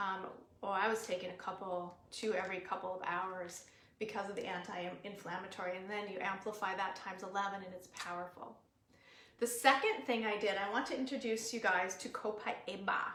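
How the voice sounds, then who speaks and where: Noticeable background noise and audible room echo fill the recording. A woman with an American accent speaks at a medium pitch. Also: fairly quick pace. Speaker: natural wellness educator. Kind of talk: live webinar talk. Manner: animated.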